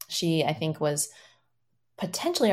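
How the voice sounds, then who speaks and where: The voice is an unremarkable speaking voice at a moderate pace. The recording is very clean, with a silent background. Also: woman. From Iowa, US Midwest. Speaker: dancer and choreographer. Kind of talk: interview.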